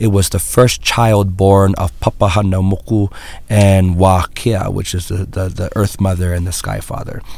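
Fairly low-pitched, monotone male speech at a moderate pace, with a Hawaiian accent. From Hawaii, Big Island. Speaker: Native Hawaiian activist and educator. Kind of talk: interview.

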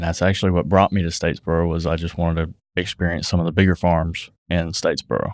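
In a Southern US accent, a man talks at a very fast pace with a very deep, low pitch and monotone, flat intonation. The recording is very clean, dry and close, with a silent background and no echo. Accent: Southern US (Georgia). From US South (south Georgia, Thomasville). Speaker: business owner (trucking). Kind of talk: casual chat.

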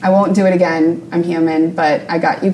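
A woman talks in an American accent over noticeable background noise. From US South, New Orleans suburbs. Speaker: painter and art academy staff. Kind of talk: interview.

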